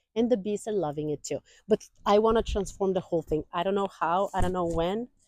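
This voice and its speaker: The recording is dry and close with no echo as a woman of medium pitch talks at a fairly quick pace with ordinary pitch variation. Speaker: gardening vlogger. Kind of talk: casual garden tour vlog. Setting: outdoors in garden. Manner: fast.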